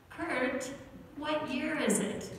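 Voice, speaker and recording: A woman is heard with strong room echo and light background noise. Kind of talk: children's story. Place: church. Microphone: pa.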